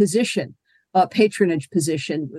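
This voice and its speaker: A woman speaks in a normal speaking voice at a moderate pace with lively intonation. The sound is dry and close, with no echo. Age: 50s. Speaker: history professor. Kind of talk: interview.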